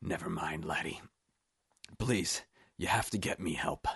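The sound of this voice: A man puts on a character voice, low-pitched, breathy and strained, with vocal fry and a husky, rough edge, speaking at a fairly slow pace. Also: ordinary pitch variation, fairly bright tone.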